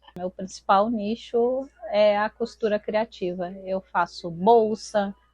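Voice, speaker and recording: A woman with a medium pitch speaks at a very slow pace, her intonation fairly even. The sound is dry and close, with no echo. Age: 40s. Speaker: artisan. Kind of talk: interview testimony. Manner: halting.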